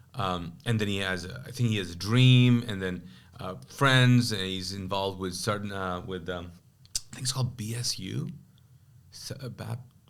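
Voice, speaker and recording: There is audible room echo as a man speaks at a moderate pace. His pitch is fairly low, with ordinary pitch variation. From Kuwait, Pakistani family. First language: Urdu. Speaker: pastor. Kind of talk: testimony; casual chat. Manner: halting.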